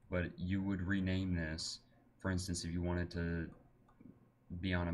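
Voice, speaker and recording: At a moderate pace, a man with a very deep, low pitch speaks in a monotone, flat way, with audible room echo around him. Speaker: gaming tutorial maker. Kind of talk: screen-recorded tutorial.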